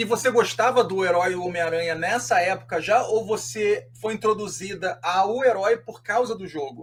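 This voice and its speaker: A man with a high voice speaks at a moderate pace with lively intonation and hardly any pauses. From Rio de Janeiro, Brazil. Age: 40s. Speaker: podcast host. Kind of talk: podcast interview.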